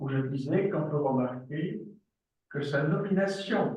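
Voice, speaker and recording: With audible room echo, a man with a German accent speaks very slowly in a somewhat breathy voice with lively intonation. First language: German dialect (speaking French). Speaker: psychoanalyst and professor. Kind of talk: lecture.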